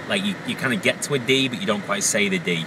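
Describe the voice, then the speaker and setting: Noticeable background noise sits behind a man with a Lancashire accent. His pitch varies in an ordinary way. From northern England, Wigan. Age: 30s. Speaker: vlogger. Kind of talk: casual vlog while driving. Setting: in a car. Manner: hesitant, many fillers.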